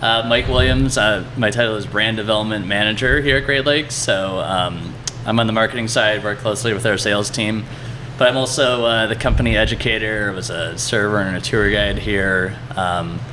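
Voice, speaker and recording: With a Cleveland accent, a man speaks fairly quickly at a fairly low pitch with ordinary pitch variation. Room echo is audible, along with noticeable background noise. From Cleveland, Ohio, US Midwest. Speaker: brewery marketing manager. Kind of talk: casual interview. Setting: at the brewery.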